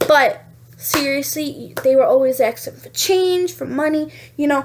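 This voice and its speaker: With a New York accent, a woman speaks at a moderate pace in a high, animated voice with ordinary pitch variation. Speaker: vlogger. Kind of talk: casual vlog monologue.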